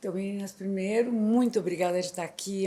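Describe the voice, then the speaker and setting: Ordinary shifts in pitch carry a dark, mellow tone. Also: woman. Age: 60s. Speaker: set designer and decorator. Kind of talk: podcast interview.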